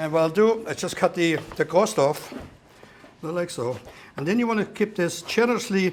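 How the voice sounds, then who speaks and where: Someone with a German accent speaks with lively intonation amid noticeable background noise. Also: man, high pitch for a man, moderate pace. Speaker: chef. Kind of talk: cooking demonstration.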